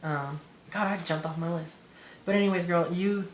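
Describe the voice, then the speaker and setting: A man speaks fairly quickly with fairly even intonation. Noticeable background noise and audible room echo are present. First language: Spanish. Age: 20s. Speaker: vlogger in recovery from addiction. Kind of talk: personal testimony monologue. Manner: halting, rambling with many fillers.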